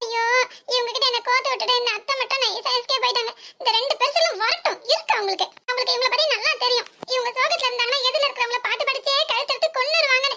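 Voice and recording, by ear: A woman puts on a character voice at an extremely high pitch, bright and sharp in tone. She talks at a very fast pace with few pauses and ordinary pitch variation.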